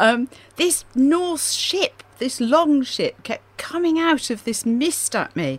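Through noticeable background noise, a woman speaks at a very slow pace with a high pitch. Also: lively intonation. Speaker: radio host and author. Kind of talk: radio chat about books. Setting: radio studio.

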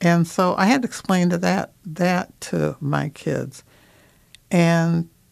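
This woman speaks with an American accent. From Minnesota. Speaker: mental health advocate and church ministry leader. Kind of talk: radio interview.

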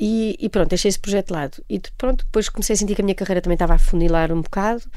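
A woman speaks at a medium pitch with a dark, mellow tone. There is audible room echo. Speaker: actress and voice narrator. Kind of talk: interview. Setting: radio studio. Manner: hesitant, many fillers.

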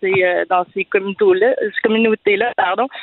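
A woman's fairly high voice at a moderate pace amid noticeable background noise. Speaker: conversion therapy survivor. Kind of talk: testimony. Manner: halting.

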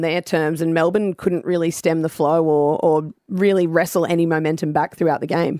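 A woman with an Australian accent talks at a fairly quick pace in a fairly low pitch with fairly even intonation. The recording is very clean, with a silent background and a dry, close sound with no echo. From Brisbane, Australia. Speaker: former AFLW footballer and commentator. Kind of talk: casual radio interview.

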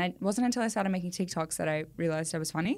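This woman has an Australian accent and lively intonation. The recording is very clean, with a silent background. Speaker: comedy content creator and actor. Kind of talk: casual chat. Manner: animated.

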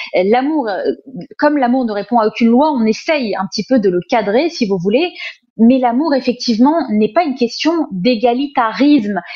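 Her voice sits high and moves with lively intonation. The woman keeps a moderate pace. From France, Paris suburbs (Sarcelles). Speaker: essayist and journalist. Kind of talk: interview.

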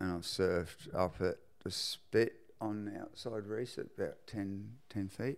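Speaking at a fairly slow pace, a man talks with a New Zealand accent. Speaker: surfboard shaper. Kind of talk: casual chat.

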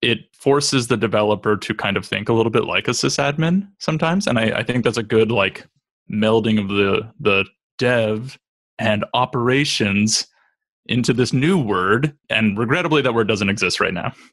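Here is a man with an unremarkable speaking voice at a medium pitch. He keeps a moderate pace and ordinary pitch variation against a quiet background. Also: very even loudness. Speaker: cloud native architect. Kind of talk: casual tech panel chat.

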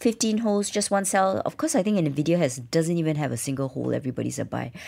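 A woman with a fairly low pitch talks at a very fast pace. The recording is very clean, with a silent background. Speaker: radio host. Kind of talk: radio show. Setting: studio.

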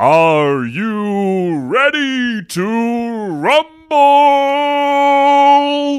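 The speaker uses a put-on character voice at a fairly high pitch. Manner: dramatic announcer delivery.

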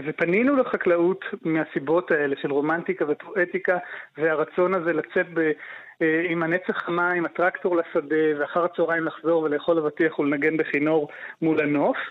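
This man has a high pitch, fairly even intonation and very even loudness, speaking at a moderate pace. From Israel, Haifa. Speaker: farmer. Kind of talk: interview. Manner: halting.

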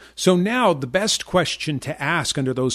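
A man in a normal speaking voice talks at a moderate pace with lively intonation against a quiet background. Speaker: trading educator and radio show host. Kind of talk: radio show talk with a sales pitch. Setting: radio studio.

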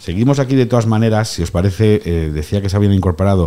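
A man with a fairly low pitch and a dark, mellow tone, ordinary pitch variation and a fairly quick pace, on a very clean recording with a silent background. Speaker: radio host. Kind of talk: radio talk show. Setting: studio.

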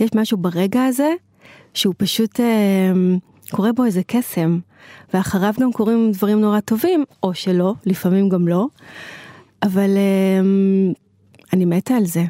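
At a fairly slow pace with long, frequent pauses, the voice has a dark, mellow tone, ordinary pitch variation and very even loudness, recorded dry and close with no echo. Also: woman, medium pitch for a woman. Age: 40s. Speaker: activist and community organizer. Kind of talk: interview. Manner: animated.

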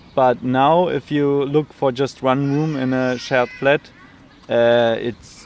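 A man talks at a very slow pace with a medium pitch. Noticeable background noise runs under his voice. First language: German (speaking Danish). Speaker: flat seeker. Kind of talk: interview.

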